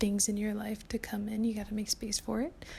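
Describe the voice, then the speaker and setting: A somewhat breathy whisper at a moderate pace. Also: woman. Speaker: lifestyle vlogger. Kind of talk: casual chat. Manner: whispering.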